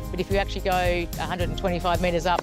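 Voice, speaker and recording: Clear music plays in the background. The sound is dry, with no echo. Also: woman. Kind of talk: interview answer. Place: open country. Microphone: lapel.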